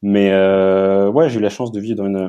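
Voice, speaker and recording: At a moderate pace, a man speaks with fairly low pitch. His tone is dark and mellow. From Paris region, France. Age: 30s. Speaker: ocean activist and comic writer. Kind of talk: interview conversation. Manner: hesitant with fillers.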